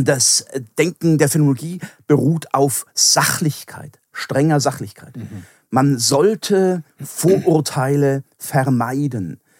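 Recorded very cleanly against a silent background, a man with a fairly high voice speaks very slowly, with ordinary pitch movement and a dry, close sound free of echo. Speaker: philosophy professor. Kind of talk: interview.

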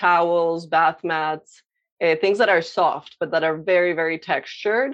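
This voice has a Spanish accent and fairly even intonation. The pace is fairly slow, and the background is quiet. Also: woman. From Colombia (Medellin). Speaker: visual artist, painter. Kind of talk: interview. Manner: hesitant, many fillers.

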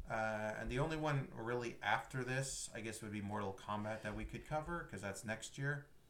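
This is an ordinary speaking voice, a man talking at a moderate pace with a fairly low pitch. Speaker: podcast host. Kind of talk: casual chat.

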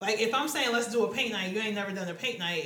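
A woman's voice with audible room echo. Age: 20s. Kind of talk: casual chat.

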